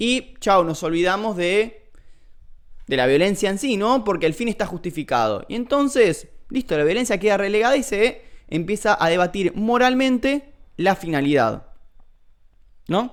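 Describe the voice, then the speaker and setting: A high-pitched man with an Argentine accent and lively intonation, in a very clean recording with a silent background. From Argentina. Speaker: philosophy streamer. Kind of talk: livestream lecture. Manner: hesitant, many fillers.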